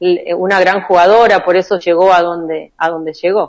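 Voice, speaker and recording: A woman's medium-pitched voice with monotone, flat intonation at a fairly slow pace. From Argentina, Chaco and Santa Fe province. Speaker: volleyball player. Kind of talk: interview. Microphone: connection dropped during call.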